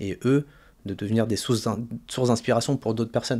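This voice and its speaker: A man's dark, mellow voice in a flat monotone. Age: 30s. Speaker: personal trainer, former finance worker; personal trainer. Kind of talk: interview. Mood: calm, reflective. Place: studio. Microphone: studio mic.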